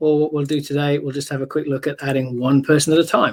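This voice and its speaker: The speaker talks at a fairly quick pace. The voice carries a British accent. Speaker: software vendor presenter. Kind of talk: product demo. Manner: halting, many fillers.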